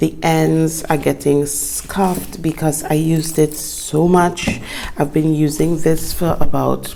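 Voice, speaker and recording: Noticeable background noise behind a woman at a fairly slow pace. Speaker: planner YouTuber. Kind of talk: tutorial. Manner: casual, chatty.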